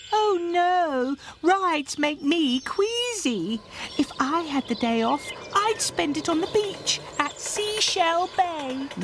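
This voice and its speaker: A female-sounding cartoonish character voice at an extremely high pitch, fairly slow in pace, over clear background noise. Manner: gushing, dreamy.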